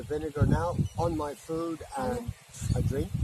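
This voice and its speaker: Noticeable background noise fills the recording. Through it, a man talks at a fairly slow pace. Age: 70s. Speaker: retired electrician vlogger. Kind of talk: casual chat. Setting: outdoors.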